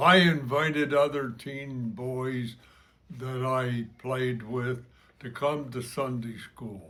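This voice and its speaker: At a very slow pace, a man with an American accent speaks in a medium pitch and fairly even intonation. Audible room echo can be heard. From New Jersey, US. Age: 90s. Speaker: church member giving testimony. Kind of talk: testimony. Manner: halting.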